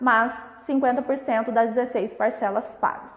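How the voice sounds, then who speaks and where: A high-pitched woman talks at a moderate speed, her pitch varying in an ordinary way, as noticeable noise sounds behind her. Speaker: family lawyer. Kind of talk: live stream legal explainer. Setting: live stream.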